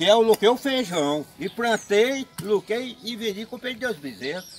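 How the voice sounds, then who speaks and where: Over light background noise, a high-pitched man speaks very slowly with lively intonation. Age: 70s. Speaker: farmer. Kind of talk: interview answer. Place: farm. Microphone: phone near.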